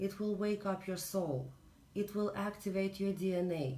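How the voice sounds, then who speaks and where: Noticeable background noise sits behind a woman with a Russian accent. She speaks at medium pitch and a moderate pace, with fairly even intonation. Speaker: spiritual reader. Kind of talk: spiritual talk. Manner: halting.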